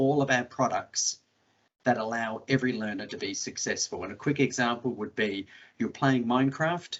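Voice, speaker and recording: A man speaks at a medium pitch. He has an Australian accent. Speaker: education technology specialist. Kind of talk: webinar panel talk.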